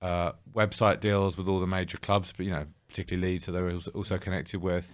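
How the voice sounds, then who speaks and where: In a very clean recording with a silent background, a man with a British accent speaks at a fairly low pitch. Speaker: former betting company CEO. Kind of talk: interview. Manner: hesitant, with fillers and restarts.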